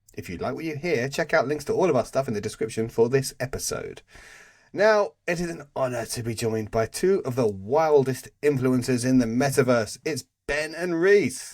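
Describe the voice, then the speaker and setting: A man's medium-pitched voice with a British accent, lively intonation and a moderate pace. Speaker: podcast host. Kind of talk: casual chat.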